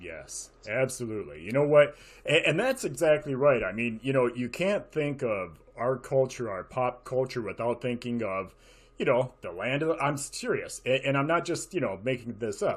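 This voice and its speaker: A man with an American accent, medium-pitched, at a moderate pace with lively intonation. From Michigan, US. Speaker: artist and show host. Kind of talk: casual chat. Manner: animated.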